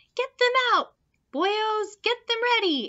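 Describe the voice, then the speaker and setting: A woman's squeaky, extremely high-pitched put-on character voice. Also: fairly slow pace. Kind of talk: bedtime story. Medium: read story. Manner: brisk, lively storybook voice.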